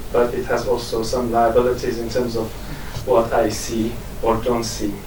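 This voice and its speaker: A man with an Iranian Kurdish accent speaks with ordinary pitch variation, amid audible room echo and noticeable background noise. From Kurdish region of Iran. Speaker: academic. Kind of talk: academic conference talk. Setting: conference with audience. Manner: hesitant, many fillers.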